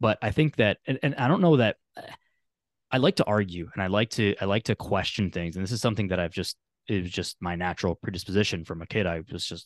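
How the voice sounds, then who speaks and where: In a quiet background with a dry, close sound and no echo, a man with an ordinary speaking voice and fairly low pitch talks at a fairly quick pace. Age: 20s. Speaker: fitness coach. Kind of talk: casual chat.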